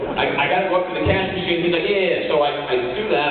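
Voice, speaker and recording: The recording has audible room echo and noticeable background noise. A man speaks in a fairly high voice. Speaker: radio host. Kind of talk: speech. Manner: animated.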